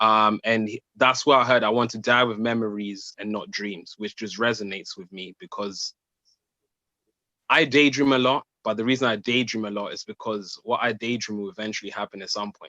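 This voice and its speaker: In a Zimbabwean accent, a man speaks at a moderate pace and medium pitch, with a bright, sharp tone and fairly even intonation. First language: Shona. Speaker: spoken word poet. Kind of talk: casual chat. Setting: video call.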